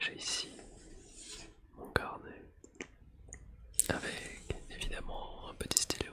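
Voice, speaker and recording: Whispering at a very slow pace in a calm tone, the speaker leaves long, frequent pauses over noticeable background noise. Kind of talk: ASMR whispering while drawing. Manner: whispered, calm.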